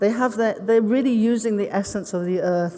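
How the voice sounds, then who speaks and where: A woman with a British accent, fairly high in pitch with ordinary pitch variation, over noticeable background noise. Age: 60s. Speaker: ceramic artist. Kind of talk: conference talk. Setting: stage with audience.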